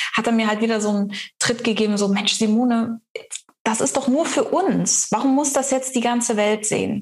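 At a moderate pace, a woman with a plain, everyday voice talks in a fairly high pitch with fairly even intonation. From East Africa. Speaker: mind and business coach. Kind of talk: casual interview chat.

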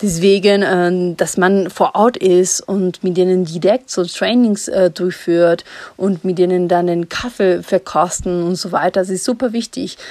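Speaking at a fairly slow pace in a Spanish accent, a woman has a dark, mellow tone and fairly even intonation. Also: medium pitch for a woman. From Ecuador. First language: Spanish (speaking German). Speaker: coffee importer and company co-founder. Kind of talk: voice message. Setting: recorded remotely in Ecuador.

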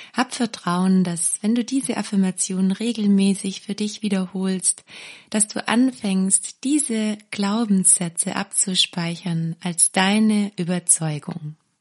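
Speaking very slowly in a somewhat breathy voice at a medium pitch, a woman shows ordinary pitch variation, with a dry, close sound with no echo and a quiet background. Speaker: meditation guide and parenting course creator. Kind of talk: guided meditation with affirmations. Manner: slow, calm, soothing; warm, gentle, caring.

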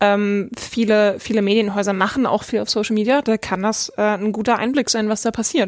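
A woman's fairly high voice, a normal speaking voice, with fairly even intonation, very even loudness and a moderate pace. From rural Germany. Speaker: marketing editor. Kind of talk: casual chat. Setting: studio.

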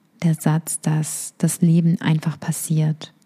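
Dark and mellow, a woman's voice sits at a very deep, low pitch and sounds somewhat breathy. Her tone is calm and soothing, the intonation monotone and flat. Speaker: meditation guide. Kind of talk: guided meditation. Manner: slow, calm, soothing; gentle, instructive, intimate.

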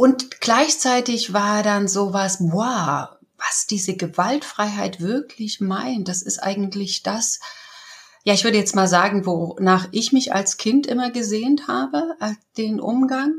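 A woman talks very slowly at a medium pitch. Her intonation is lively. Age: 60s. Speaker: communication trainer. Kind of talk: interview.

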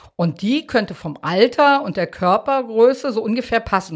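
At a moderate pace, a woman's pitch climbs and falls across a very wide range. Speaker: true crime podcast host, journalist. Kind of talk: true crime storytelling.

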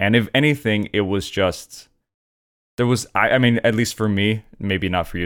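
Talking at a fairly quick pace, a man with fairly low pitch and ordinary pitch variation has an unremarkable speaking voice. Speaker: comedian. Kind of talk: casual chat. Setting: video call.

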